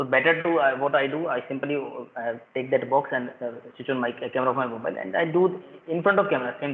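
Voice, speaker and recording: A man talks with fairly even intonation while noticeable background noise is heard. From India, Rajasthan. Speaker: school principal. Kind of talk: casual chat. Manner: fast; halting.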